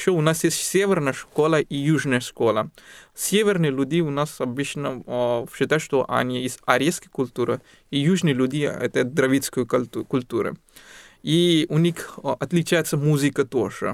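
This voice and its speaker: Recorded very cleanly against a silent background, a man with an Indian accent speaks at a fairly slow pace and a fairly high pitch. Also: ordinary pitch variation. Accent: Indian-accented Russian. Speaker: guest, doctor and musician. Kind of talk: casual interview. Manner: halting, grammatical errors in Russian.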